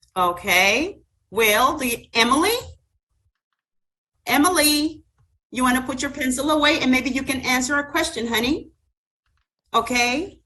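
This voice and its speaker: Raising and projecting her high, bright, sharp voice, a woman speaks at a fairly slow pace with lively intonation and long, frequent pauses. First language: Spanish. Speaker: student teacher. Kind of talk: classroom teaching simulation.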